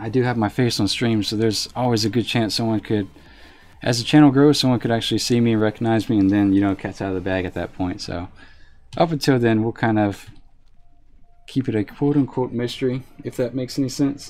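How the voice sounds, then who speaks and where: A man with a slight Southern accent speaks in a relaxed tone at a medium pitch, with ordinary pitch variation. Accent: slight southern drawl. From US South. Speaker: game streamer. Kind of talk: casual live stream commentary. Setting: live stream. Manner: relaxed, frequent fillers.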